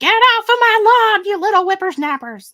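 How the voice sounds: Pitch sits extremely high. This is a put-on character voice. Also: moderate pace.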